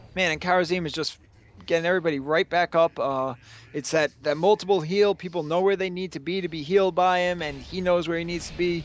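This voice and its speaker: A very fast, high-pitched man's voice with fairly even intonation. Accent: New York. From New York City, Long Island. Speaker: esports caster. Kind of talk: live commentary. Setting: livestream with chat.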